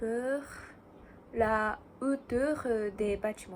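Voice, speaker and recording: A woman with a Japanese accent speaks at a high pitch with ordinary pitch variation. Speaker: student. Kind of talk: casual talk to camera. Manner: hesitant, many fillers.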